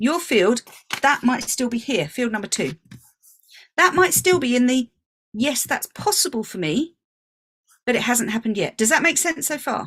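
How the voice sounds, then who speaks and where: Speaking at a moderate pace with a British accent, a woman uses a high pitch with very wide pitch swings and long, frequent pauses. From England. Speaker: business coach. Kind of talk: online workshop talk.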